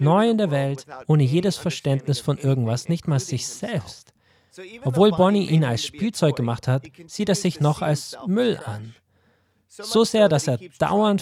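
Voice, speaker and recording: A man speaks in a dark, mellow tone that is somewhat breathy, at a fairly slow pace. His fairly high pitch moves in very wide swings. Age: 40s. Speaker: pastor. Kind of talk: sermon.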